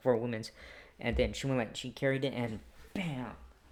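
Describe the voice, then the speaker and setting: Fairly even intonation in a man's medium pitch. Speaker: wrestling show reviewer. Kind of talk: show recap review. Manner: halting, many fillers; loud.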